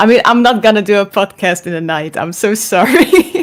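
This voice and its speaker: A woman's unremarkable speaking voice at medium pitch, fairly slow in pace, with lively intonation. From Europe, non-US. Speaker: artist, online creator. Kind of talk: podcast interview.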